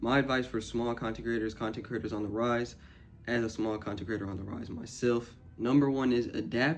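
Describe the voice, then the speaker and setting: A man speaks at medium pitch with fairly even intonation. Music can be heard in the background. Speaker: small YouTube content creator. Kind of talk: casual advice monologue. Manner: fast; casual, filler-heavy.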